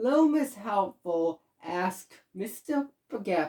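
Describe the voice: Lively intonation in plain reading aloud, set against quiet surroundings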